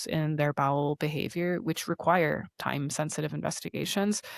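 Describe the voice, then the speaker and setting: A woman with a strong Canadian accent talks at a fairly quick pace in a fairly low voice with ordinary pitch variation, the recording very clean with a silent background and a dry, close sound with no echo. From Canada. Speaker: osteopath. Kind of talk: podcast interview.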